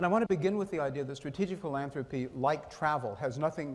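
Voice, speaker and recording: The pitch of the man's voice varies in an ordinary way. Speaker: foundation president giving keynote. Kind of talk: conference speech. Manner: fast.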